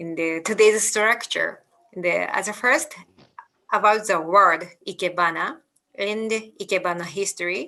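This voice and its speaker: A woman speaks with a Japanese accent at a moderate pace. Her tone is bright and sharp, with ordinary pitch variation. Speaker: ikebana teacher. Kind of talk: lecture. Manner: halting.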